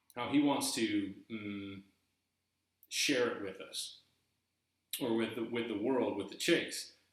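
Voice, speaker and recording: Audible room echo surrounds a man with an American accent who speaks at a very slow pace, leaving long, frequent pauses. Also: medium pitch for a man, ordinary pitch variation. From eastern North Carolina, US South. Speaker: YouTuber discussing treasure hunt book. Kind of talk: casual video monologue. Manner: halting, repeating words.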